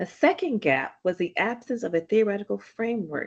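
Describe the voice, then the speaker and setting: Her pitch swings very widely as a woman talks at a moderate pace. Nothing much is heard behind her. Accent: Southern US. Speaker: physician and author. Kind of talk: reading aloud.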